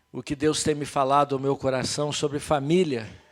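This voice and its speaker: A man speaks with a fairly high pitch. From Brazil. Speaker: pastor. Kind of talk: sermon. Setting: church.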